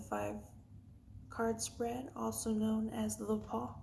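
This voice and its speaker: A woman speaks at a fairly slow pace in a calm tone, with audible echo from the room. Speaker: tarot card reader. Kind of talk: tarot reading vlog.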